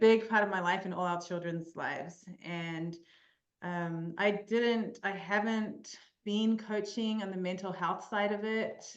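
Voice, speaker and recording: In a New Zealand accent, a woman at medium pitch speaks at a fairly slow pace with ordinary pitch variation, and audible room echo surrounds her voice. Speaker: mental performance coach. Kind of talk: podcast interview. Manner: hesitant, many fillers.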